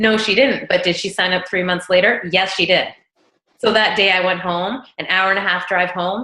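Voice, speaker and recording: With an animated tone, a woman speaks in a bright, sharp tone at a moderate pace. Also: medium pitch for a woman. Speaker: network marketing team leader. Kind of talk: team meeting talk on video call. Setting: video call.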